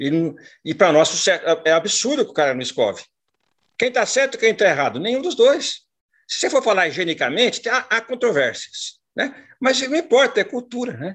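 A man speaks at a fairly quick pace in an extremely high voice. His pitch swings very widely. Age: 60s. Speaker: mentor and former business executive. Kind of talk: talk to online group.

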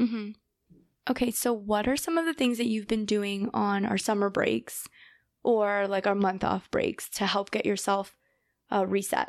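Against a quiet background, a woman with an unremarkable speaking voice talks at a moderate pace and medium pitch, with ordinary pitch variation and very even loudness. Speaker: podcast host and grad student. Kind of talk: interview podcast, casual chat.

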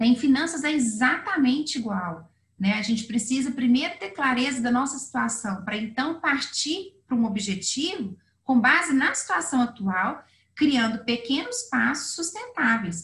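Her pitch is high, and her intonation is lively. The woman speaks at a fairly slow pace. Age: 40s. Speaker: financial planner. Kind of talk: interview.

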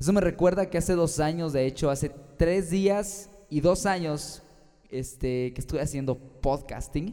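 A man with a central Mexican accent speaks at a fairly slow pace, his pitch high with ordinary variation. Noticeable background noise is present. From Mexico, Guanajuato. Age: 20s. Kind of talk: sermon-style podcast monologue.

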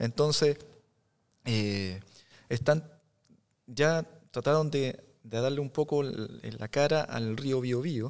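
Very slow and broken by long, frequent pauses, a man's medium-pitched speech rises and falls in an ordinary way. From Chile, Biobío region (Tomé and Lota). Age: 40s. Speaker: photographer and visual artist. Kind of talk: casual interview.

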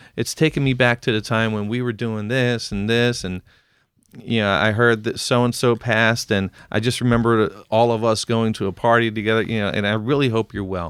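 A man with an American accent has a normal speaking voice at a medium pitch, talking at a fairly quick pace with fairly even intonation. The recording is very clean, with a silent background. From US Northeast, Philadelphia. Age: 40s. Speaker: podcast co-host. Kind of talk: casual chat.

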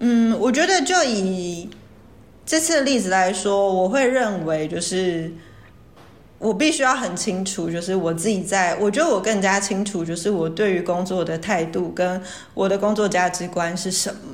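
Audible room echo surrounds a woman speaking at a moderate pace in a medium pitch. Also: ordinary pitch variation. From Taiwan, Taoyuan. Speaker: marketing professional. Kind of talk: casual chat.

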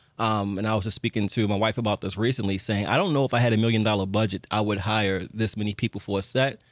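Very fast in pace, a man with an American accent speaks with fairly even intonation in a dry, close sound with no echo over a quiet background. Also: fairly low pitch for a man, hardly any pauses. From Baltimore, Maryland. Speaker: film director. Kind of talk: casual interview. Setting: studio.

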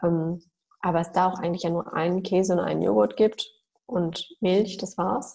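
A woman with an ordinary speaking voice talks at a fairly low pitch and a fairly slow pace, with ordinary pitch variation. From Germany, Mülheim an der Ruhr near Düsseldorf. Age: 30s. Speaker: doctor specializing in nutrition. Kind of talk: interview.

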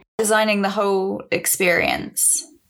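A woman speaks with a Swedish accent. Her medium pitch moves at a fairly slow pace. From Sweden. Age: 20s. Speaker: jazz musician. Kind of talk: interview.

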